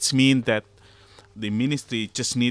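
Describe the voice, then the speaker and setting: A man with an Indonesian accent at a moderate pace, fairly even intonation, dry, close sound with no echo, and a very clean recording with a silent background. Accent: Javanese-accented English. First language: Javanese. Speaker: academic. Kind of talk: interview discussion. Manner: halting.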